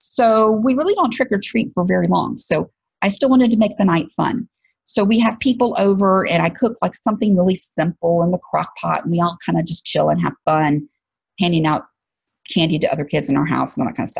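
Speaking with a Southern US accent, a woman moves at a fairly quick pace with lively intonation and vocal fry. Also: medium pitch for a woman. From Alabama, US South. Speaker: podcast host and career coach. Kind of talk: casual monologue podcast.

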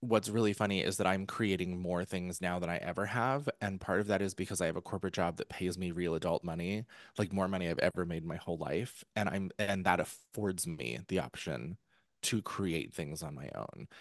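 Recorded with a dry, close sound and no echo, a man with an American accent talks at a fairly quick pace in a very deep, low pitch. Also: ordinary pitch variation, quiet background. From central Pennsylvania. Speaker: author and former musical theatre performer. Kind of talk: casual interview chat.

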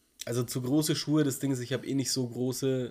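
A man speaks in a dark, mellow tone at medium pitch. His delivery is monotone and flat at a moderate pace. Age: 30s. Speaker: podcast co-host. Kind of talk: casual chat.

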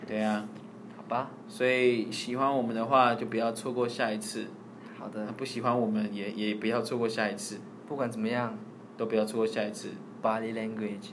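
With a Taiwanese accent, a man speaks at a medium pitch and a fairly quick pace. His intonation is monotone and flat, and audible room echo is present. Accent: Taiwanese Mandarin. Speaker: podcast co-host. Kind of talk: casual chat.

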